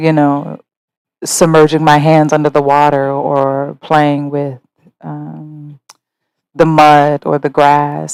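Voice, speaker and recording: A woman with an American accent, a very deep, low pitch, and a fairly slow pace. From US Midwest, Ohio (Mansfield). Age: 30s. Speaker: interviewee telling her life story. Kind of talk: life story interview. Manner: reflective, hesitant with fillers.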